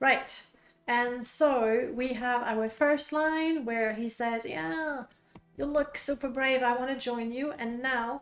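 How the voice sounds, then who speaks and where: A woman with a high voice talks at a very slow pace while music plays in the background. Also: ordinary pitch variation. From France. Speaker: game streamer and modder. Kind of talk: casual live stream chat. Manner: casual with fillers.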